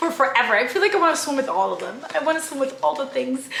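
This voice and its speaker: An animated, raised and projected high-pitched woman's voice with audible room echo and noticeable background noise. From outside the US, moved to America. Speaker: travel vlogger and podcast co-host. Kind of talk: casual travel vlog.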